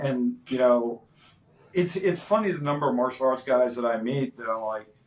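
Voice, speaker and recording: A man speaks at a moderate pace with a medium pitch and ordinary pitch variation, in an unremarkable speaking voice. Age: 50s. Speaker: martial arts instructor. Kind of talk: podcast interview. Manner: casual, filler-heavy.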